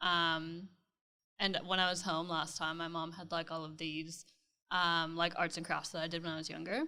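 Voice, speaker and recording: On a very clean recording with a silent background, a woman with a slight Canadian accent speaks at a moderate pace. Her fairly low voice has a bright, sharp tone and monotone, flat intonation. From Canada, near Toronto, Ontario. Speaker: interior designer. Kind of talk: casual interview chat.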